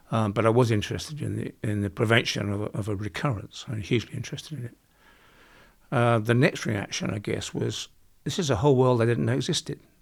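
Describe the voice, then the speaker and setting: A man rattles along at a very fast pace, his medium pitch showing vocal fry and ordinary pitch variation. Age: 70s. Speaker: construction industry expert. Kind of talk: interview. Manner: halting.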